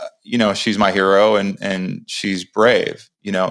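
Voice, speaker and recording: A man's very deep, low voice in monotone, flat intonation at a fairly slow pace, on a very clean recording with a silent background. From upstate New York. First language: American Sign Language. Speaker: reality show winner, entrepreneur, podcast host. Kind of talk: casual interview.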